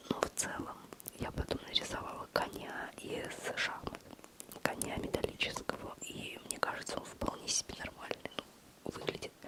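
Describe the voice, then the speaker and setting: Whispering at a moderate pace, a woman is heard over noticeable background noise. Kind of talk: whispered ASMR talk to camera, personal chat about art struggles. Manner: close-up whisper, intimate.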